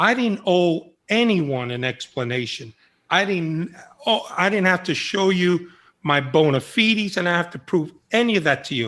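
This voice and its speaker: In a New York accent, the speaker has a bright, sharp tone and very wide pitch swings at a moderate pace against a quiet background. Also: man, high pitch for a man. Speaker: former undercover FBI agent. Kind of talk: interview conversation. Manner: animated.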